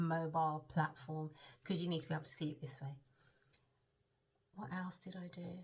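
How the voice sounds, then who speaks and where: This woman's voice is fairly low and somewhat breathy. Her pitch varies in an ordinary way. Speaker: web designer vlogger. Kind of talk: casual vlog. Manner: hesitant, many filler ums.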